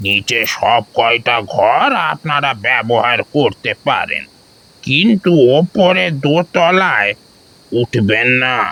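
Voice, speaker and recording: This man uses a put-on character voice. He speaks at a very slow pace. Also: medium pitch for a man. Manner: grave, slow.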